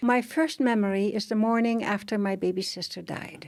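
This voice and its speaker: Using a Dutch accent, a woman speaks at a moderate pace in a medium pitch with ordinary pitch variation. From Netherlands. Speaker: author. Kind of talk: interview testimony. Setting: studio.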